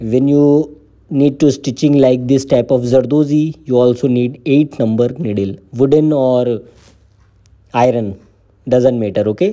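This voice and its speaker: Dark and mellow in tone, the voice moves at a fairly slow pace with very even loudness and ordinary pitch variation. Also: man, medium pitch for a man. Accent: Indian. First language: Hindi. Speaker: embroidery teacher. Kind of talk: tutorial. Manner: halting.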